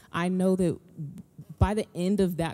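Moving at a fairly slow pace, the voice carries a dark, mellow tone. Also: woman. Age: 20s. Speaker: single church member. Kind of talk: testimony.

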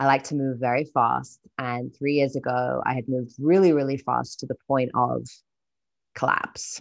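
A woman with a British accent speaks at a moderate pace with a very deep, low pitch and fairly even intonation against a quiet background. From UK. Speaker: entrepreneur and writer. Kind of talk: casual interview. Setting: video call.

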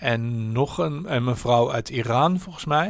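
This man's pitch varies in an ordinary way while he talks fairly slowly. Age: 60s. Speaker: podcaster and marketer. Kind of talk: casual chat. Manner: halting, many fillers and restarts.

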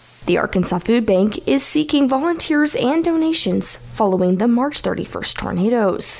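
Her high pitch swings very widely as a woman speaks over noticeable background noise. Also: moderate pace, hardly any pauses, very even loudness. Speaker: radio news host. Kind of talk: local radio news reading and interview.

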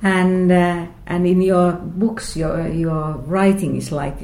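In a Finnish accent, a woman speaks with a dark, mellow tone and a fairly low pitch. Her voice is somewhat breathy and her intonation fairly even. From Finland (Lahti). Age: 50s. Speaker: book podcast host. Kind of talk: interview conversation. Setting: writers' festival venue.

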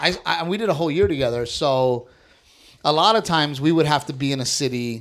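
A plain, everyday voice from a man with an American accent, fairly high pitched, with ordinary pitch variation and a fairly quick pace. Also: very clean recording, silent background. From South Texas, near Corpus Christi. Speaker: stand-up comedian. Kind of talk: casual chat.

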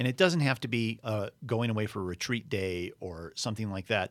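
Over a very clean recording with a silent background, a man talks in an unremarkable speaking voice with ordinary pitch variation. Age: 50s. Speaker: podcast host. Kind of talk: casual chat.

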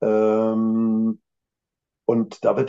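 This is a man. His pitch is fairly low. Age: 50s. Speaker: management consultant. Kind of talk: casual chat.

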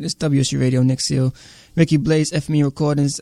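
A man speaks in an unremarkable speaking voice with an American accent. His pitch is fairly high and his intonation fairly even. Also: dry, close sound with no echo. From Brooklyn, New York. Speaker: radio host. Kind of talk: casual radio interview.

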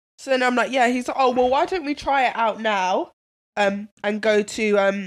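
A woman's fairly high voice at a moderate pace, animated in tone, with ordinary pitch variation and very even loudness, on a very clean recording with a silent background. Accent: London. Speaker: podcast co-host. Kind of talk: casual chat. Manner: animated storytelling.

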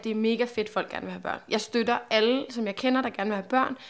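In a very clean recording with a silent background, a woman with a fairly high pitch and ordinary pitch variation has a normal speaking voice. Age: 20s. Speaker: podcast host. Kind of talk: casual chat.

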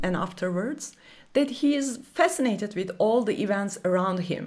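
A normal speaking voice moves with lively intonation. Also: woman. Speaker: documentary filmmaker and professor. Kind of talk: interview.

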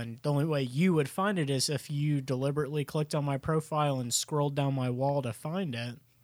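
Fairly quick and fairly high-pitched, a man speaks in a normal speaking voice. The recording is very clean, with a silent background. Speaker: podcast co-host. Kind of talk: casual chat.

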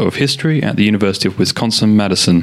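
Over music in the background, a man with a fairly low voice speaks at a very fast pace. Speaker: podcast host interviewer. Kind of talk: interview.

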